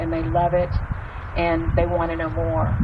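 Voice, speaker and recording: A woman speaks with a Texan accent. Noticeable background noise runs under her voice. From East Texas. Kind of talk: storytelling talk.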